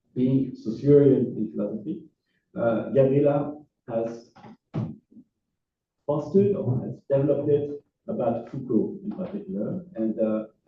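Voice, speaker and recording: Speaking with a French accent, a man has a somewhat breathy, fairly high voice and lively intonation. His pace is fairly slow, with long, frequent pauses. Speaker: philosophy professor. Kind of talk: lecture. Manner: halting, many fillers.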